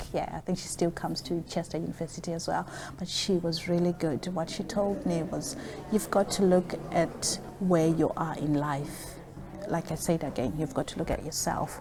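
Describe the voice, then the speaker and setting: Over noticeable background noise, a woman with a fairly low voice talks at a moderate pace with ordinary pitch variation. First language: not English. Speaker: social worker. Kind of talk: interview.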